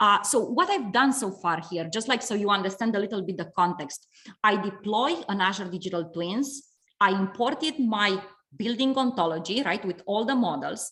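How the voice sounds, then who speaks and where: A woman speaks at a moderate pace and a medium pitch. Her intonation is lively and her tone bright and sharp. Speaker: webinar speaker on software and digital twins. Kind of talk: webinar presentation with live demo. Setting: video call webinar with screen sharing. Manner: hesitant, many fillers and repetitions.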